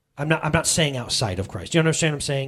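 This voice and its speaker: A man talks in a somewhat breathy voice. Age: 30s. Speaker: pastor. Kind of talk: sermon. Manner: animated, conversational.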